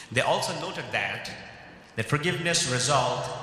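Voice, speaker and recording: Room echo is audible. A man speaks at a fairly quick pace. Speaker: keynote speaker. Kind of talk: keynote speech. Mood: earnest, measured. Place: hall. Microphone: podium.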